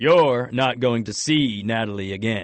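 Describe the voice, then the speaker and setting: A man does a put-on character voice, booming and resonant, at a medium pitch with ordinary pitch variation and a moderate pace. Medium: read story. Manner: cold, polite, condescending.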